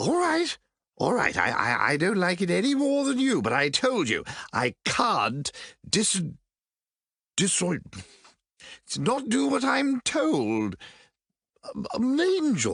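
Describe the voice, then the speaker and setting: A put-on character voice at a fairly slow pace, with long, frequent pauses and a quiet background. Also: man, high pitch for a man. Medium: audio drama. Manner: fussy, stammering, old-fashioned.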